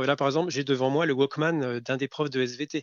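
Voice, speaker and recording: Here a man speaks at a fairly high pitch and a moderate pace. His intonation stays fairly even. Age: 40s. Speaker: school librarian. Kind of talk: interview. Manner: hesitant, many fillers.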